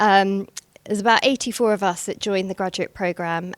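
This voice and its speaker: A woman with a British accent at a very fast pace, with fairly even intonation. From England, London area. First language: Gujarati. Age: 40s. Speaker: banking executive. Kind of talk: speech at a networking event. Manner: hesitant, many fillers.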